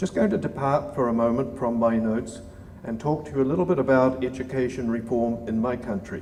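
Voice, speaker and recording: A man speaks at a fairly quick pace in a New Zealand accent, with ordinary pitch variation. Audible room echo and noticeable background noise are present. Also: medium pitch for a man. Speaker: former diplomat and government reformer. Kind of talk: conference lecture.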